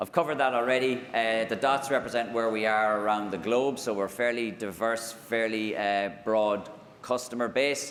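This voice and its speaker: In an Irish accent, the speaker keeps fairly even intonation and very even loudness at a moderate pace with hardly any pauses, and room echo is audible. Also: man, medium pitch for a man. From Ireland. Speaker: technology executive. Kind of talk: conference keynote. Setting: stage with audience. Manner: hesitant, many fillers.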